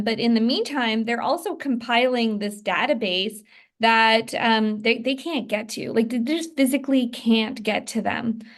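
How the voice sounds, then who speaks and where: A woman at a fairly high pitch, fairly slow pace and ordinary pitch variation, with a plain, everyday voice. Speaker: inside sales manager for a real estate team. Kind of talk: training presentation. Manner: many fillers and restarts.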